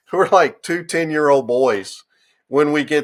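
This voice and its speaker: A man with an American accent on a very clean recording with a silent background. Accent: Southern country accent, comes out at times. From US South, western North Carolina mountains. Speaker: entrepreneur and medical device engineer. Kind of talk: casual interview chat. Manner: animated.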